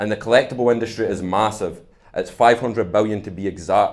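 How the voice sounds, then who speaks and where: Audible room echo surrounds the voice. A man with a Scottish accent speaks in a fairly low pitch with fairly even intonation. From Scotland. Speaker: startup founder. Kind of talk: conference talk.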